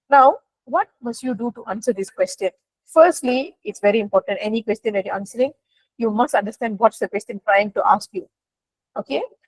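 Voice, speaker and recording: A woman's fairly quick, lively speech with big swings in loudness, dry and close with no echo. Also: fairly high pitch for a woman. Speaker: teacher. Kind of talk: online class lesson. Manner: fast.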